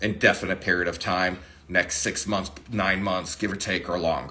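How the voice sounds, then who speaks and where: A man talks at a moderate pace. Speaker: paddle company owner and designer. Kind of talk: live social media Q&A. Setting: Instagram live stream.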